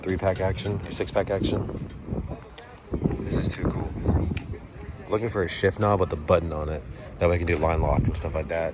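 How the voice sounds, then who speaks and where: Over noticeable background noise, a man with a very deep, low pitch talks at a fairly quick pace, broken by long, frequent pauses. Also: ordinary pitch variation. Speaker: car hobby vlogger. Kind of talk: casual vlog. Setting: outdoors. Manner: animated.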